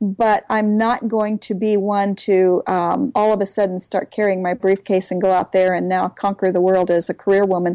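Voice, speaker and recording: A woman's dark, mellow voice in a monotone, flat intonation, with hardly any pauses and a dry, close sound with no echo. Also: medium pitch for a woman, moderate pace, very even loudness. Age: 60s. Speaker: author and homeschooling mother. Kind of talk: interview.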